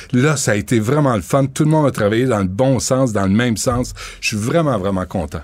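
A man talks at a fairly quick pace with lively intonation and very even loudness. He has a normal speaking voice. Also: medium pitch for a man. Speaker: radio host and documentary maker. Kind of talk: interview. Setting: studio.

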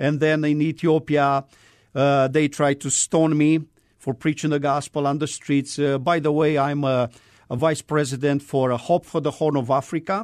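In a Romanian accent, a man speaks at a moderate pace with fairly high pitch and monotone, flat intonation. The sound is dry and close with no echo, over a quiet background. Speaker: missionary. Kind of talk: testimony. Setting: studio. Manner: halting.

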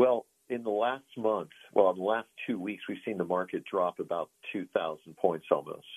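At a moderate pace, a man talks in a plain, everyday voice, fairly low in pitch with fairly even intonation. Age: 60s. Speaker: financial advisor. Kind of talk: interview.

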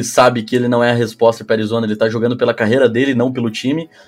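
With music in the background, a man speaks at a very fast pace in a monotone, flat intonation. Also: hardly any pauses. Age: 20s. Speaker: flag football coach. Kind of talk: casual chat.

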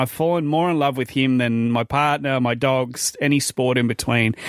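Speaking at a moderate pace with an Australian accent, a man uses a medium pitch and ordinary pitch variation. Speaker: radio host. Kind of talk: casual chat. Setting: studio.

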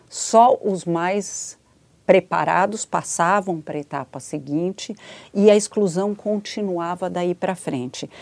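A woman's medium-pitched voice at a very slow pace, with ordinary pitch variation, big swings in loudness, and a very clean recording over a silent background. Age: 60s. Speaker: education policy expert. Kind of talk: interview. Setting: studio.

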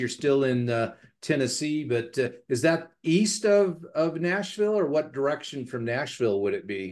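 A man's ordinary speaking voice, fairly high in pitch, at a moderate pace. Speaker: podcast host. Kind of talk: casual interview conversation. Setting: home office.

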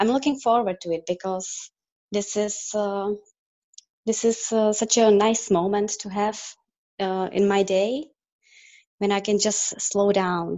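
A woman with a Czech accent, medium pitch, fairly even intonation, a very slow pace and long, frequent pauses. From Czech Republic. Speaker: guest. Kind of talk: casual interview chat.

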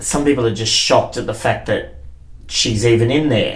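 The speaker has an Australian accent. Background noise is noticeable. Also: man. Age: 30s. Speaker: drag performer and theatre maker. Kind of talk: casual chat. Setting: backstage dressing room.

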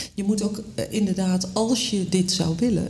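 Amid noticeable background noise and audible room echo, a woman with a medium pitch speaks fairly slowly with ordinary pitch variation. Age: 50s. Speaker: magazine editor-in-chief. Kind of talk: casual chat.

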